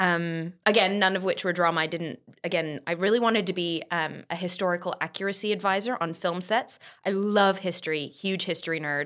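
A woman with an American accent, a normal speaking voice, medium pitch, fairly even intonation and a fairly quick pace. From US, San Diego (born in England, moved at five). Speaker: musical theatre performer. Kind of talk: casual chat.

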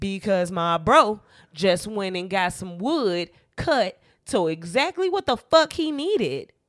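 Woman's medium-pitched voice at a fairly slow pace, with very wide pitch swings and music in the background. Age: 30s. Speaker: podcast co-host. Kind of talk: casual chat.

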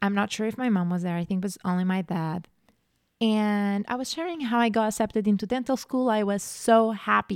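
A woman speaks in an animated tone with a Portuguese accent, at a medium pitch and a fairly quick pace. Her pitch varies in an ordinary way, and the recording is very clean with a silent background. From Portugal. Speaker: podcast host. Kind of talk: solo podcast monologue.

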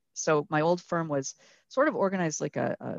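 A woman speaks with a Canadian accent. Her intonation is fairly even. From Canada, Vancouver. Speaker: company founder and president. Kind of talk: casual interview chat.

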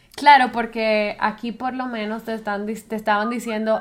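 Noticeable background noise sits behind this woman. Her pitch is fairly high and her pace moderate. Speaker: podcast co-host. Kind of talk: casual chat.

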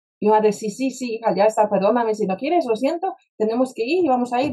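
Her pace is very fast as this woman speaks. She has a fairly high pitch and lively intonation. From Poland, Warsaw. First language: Polish (speaking Spanish). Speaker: spiritual mentor and speaker. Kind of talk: interview conversation. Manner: direct.

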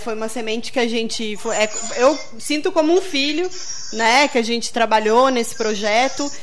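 Over music in the background and audible room echo, a woman with a fairly high pitch speaks at a moderate pace with ordinary pitch variation. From Rio Grande do Sul, Brazil. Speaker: radio host. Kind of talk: radio interview. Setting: radio studio.

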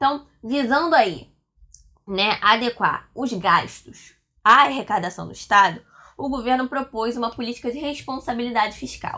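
At a moderate pace, the voice comes across as animated, with a bright, sharp tone and ordinary pitch variation. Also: woman, high pitch for a woman. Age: 20s. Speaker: history teacher. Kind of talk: lecture.

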